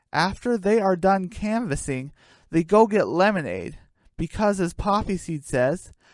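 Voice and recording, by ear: At a fairly slow pace, a woman with a fairly low pitch speaks with big pitch swings.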